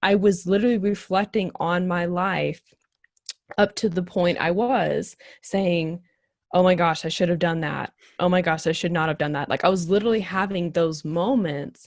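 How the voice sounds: A woman with a fairly low pitch keeps her intonation fairly even and her pace moderate.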